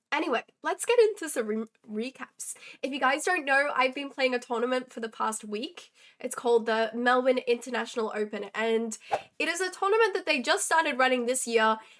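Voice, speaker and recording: Talking at a fairly quick pace with lively intonation, a woman with a high pitch speaks in an Australian accent. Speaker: chess streamer. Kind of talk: game recap on live stream. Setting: live stream.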